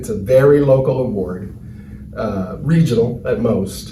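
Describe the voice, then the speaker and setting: A man with an American accent speaks at a medium pitch with lively intonation. There is noticeable background noise and audible room echo. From US Midwest, Cleveland, Ohio. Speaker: award recipient. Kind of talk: acceptance speech. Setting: virtual ceremony, recorded video.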